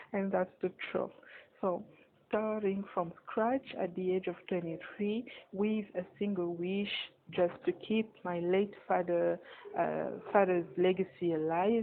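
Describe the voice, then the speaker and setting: A woman talks at a fairly slow pace in a French accent. Her intonation stays fairly even. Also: medium pitch for a woman. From Republic of Congo. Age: 20s. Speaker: magazine editor and media entrepreneur. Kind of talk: personal story monologue. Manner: hesitant, many fillers and repeats.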